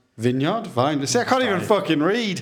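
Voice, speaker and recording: A man with a Sunderland accent, at a moderate pace with lively intonation. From North East England.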